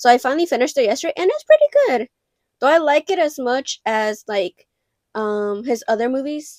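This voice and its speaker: A woman with a Mexican accent and a high pitch talks at a fairly quick pace with lively intonation, in a dry, close sound with no echo. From Mexico. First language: Spanish. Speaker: film collector vlogger. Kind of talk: casual vlog show-and-tell. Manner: casual, filler-heavy.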